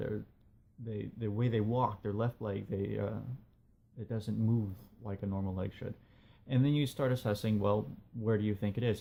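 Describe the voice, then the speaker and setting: A man with a fairly low, somewhat breathy voice speaks at a moderate pace. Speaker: video blogger, writer. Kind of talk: personal monologue video blog. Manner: hesitant with fillers.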